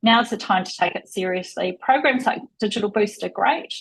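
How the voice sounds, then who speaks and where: In a New Zealand accent, a woman speaks at a medium pitch with a somewhat breathy voice. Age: 50s. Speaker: tech industry executive. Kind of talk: interview. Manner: fast.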